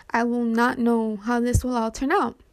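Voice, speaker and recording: A woman talks at a fairly slow pace with a high pitch. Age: 20s. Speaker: podcaster. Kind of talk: casual monologue. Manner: halting.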